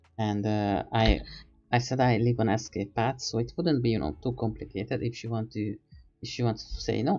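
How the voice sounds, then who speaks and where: A soft-spoken man at medium pitch with vocal fry, a fairly quick pace and ordinary pitch variation. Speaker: streamer. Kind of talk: casual chat. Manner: halting.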